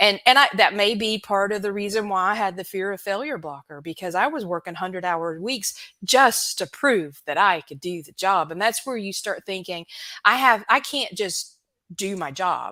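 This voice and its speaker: A woman with an American accent, bright, sharp tone, ordinary pitch variation and big swings in loudness, at a moderate pace on a very clean recording with a silent background. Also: medium pitch for a woman. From US South. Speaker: recruitment expert. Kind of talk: casual chat.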